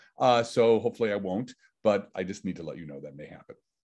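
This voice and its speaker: With an American accent and vocal fry, a man speaks at a medium pitch with ordinary pitch variation against a quiet background. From New York City. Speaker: physicist. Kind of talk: lecture.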